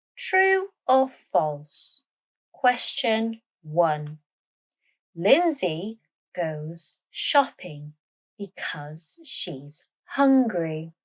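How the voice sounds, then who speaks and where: A woman with a British accent speaking very slowly, with long, frequent pauses and very wide pitch swings, in a dry, close sound with no echo. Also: medium pitch for a woman. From Britain. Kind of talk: language-learning story narration. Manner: slow, clear.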